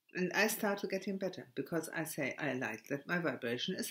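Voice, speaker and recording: With a German accent, a woman talks at a fairly quick pace. Her pitch swings very widely. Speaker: spiritual video blogger. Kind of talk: spiritual monologue. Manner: halting, stammering; many hesitations and repetitions.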